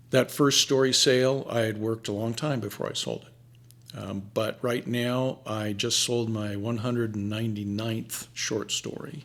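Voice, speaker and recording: A man speaks at a medium pitch with fairly even intonation, at a fairly slow pace and with hardly any pauses. Noticeable background noise runs under his voice. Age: 70s. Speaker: writer and anthology managing editor. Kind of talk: interview.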